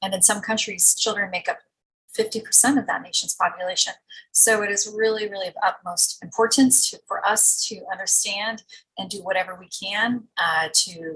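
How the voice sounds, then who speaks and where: A woman with a normal speaking voice talks at a moderate pace and medium pitch, her intonation fairly even but her loudness swinging widely. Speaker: pediatric anesthesiologist. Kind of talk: recorded lecture.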